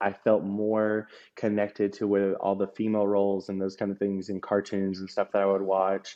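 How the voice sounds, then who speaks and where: At a moderate pace, this voice carries an American accent. The delivery is neither rushed nor slow. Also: man. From US South, Georgia. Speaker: podcast guest, former drag queen. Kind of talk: personal testimony interview. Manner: hesitant, many fillers and restarts.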